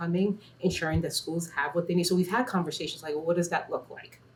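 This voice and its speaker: A woman's fairly low voice at a very fast pace over noticeable background noise. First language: not English. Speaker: school administrator. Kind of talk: interview.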